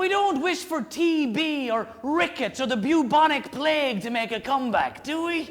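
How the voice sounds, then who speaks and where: An animated man with an Irish accent, over noticeable background noise. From Ireland. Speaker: storyteller, comedian. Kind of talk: live one-man comedy show. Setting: live audience, stage. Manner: animated, comic.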